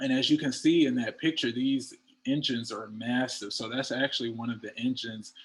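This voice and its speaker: A man speaks in a normal speaking voice at a medium pitch. His pace is fairly quick. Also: fairly even intonation. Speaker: engineer. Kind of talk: panel talk. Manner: casual, many filler words.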